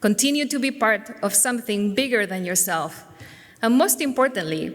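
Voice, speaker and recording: A woman with a Spanish accent, fairly high in pitch, at a moderate pace. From Spain. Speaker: teacher. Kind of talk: speech. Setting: church. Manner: formal.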